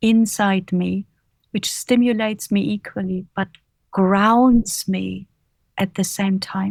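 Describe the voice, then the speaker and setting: In a German accent, a woman talks at a very slow pace with a calm tone, medium pitch and a somewhat breathy voice, in a very clean recording with a silent background and a dry, close sound with no echo. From Germany, Bavaria. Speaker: author and leadership coach. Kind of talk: interview.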